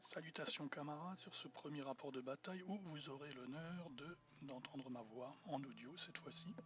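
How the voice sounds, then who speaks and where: His voice runs fairly high and shows ordinary pitch variation. The man keeps a moderate pace. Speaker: wargaming blogger. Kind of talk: battle report narration. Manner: hesitant, many fillers.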